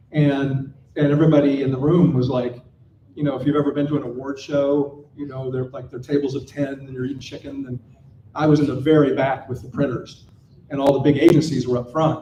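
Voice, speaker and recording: An animated man with an American accent talks at a fairly quick pace and a fairly high pitch, his loudness swinging widely, with audible room echo. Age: 60s. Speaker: panel speaker, designer and founder. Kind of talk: conference panel talk. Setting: stage with audience. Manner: animated storytelling.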